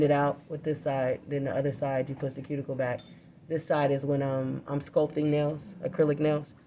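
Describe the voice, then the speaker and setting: Soft-spoken, a woman talks with a very deep, low pitch. Her intonation is monotone and flat. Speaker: nail technician. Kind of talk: live demonstration. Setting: live demo at a nail school.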